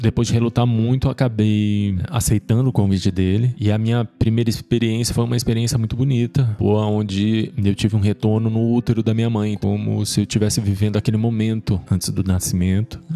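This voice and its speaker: The voice has a dark, mellow tone and fairly even intonation. It moves at a fairly quick pace with hardly any pauses. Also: man, fairly low pitch for a man. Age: 40s. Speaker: podcast host. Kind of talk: personal testimony.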